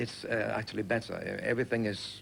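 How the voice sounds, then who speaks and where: Speaking fairly quickly in a Danish accent, a man uses a medium pitch with vocal fry. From Denmark. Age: young. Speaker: singer and entertainer. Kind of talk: TV interview. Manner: halting.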